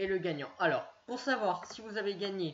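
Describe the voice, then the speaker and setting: A woman talks at a moderate pace. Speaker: YouTuber. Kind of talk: screen-share tutorial. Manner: halting, many fillers.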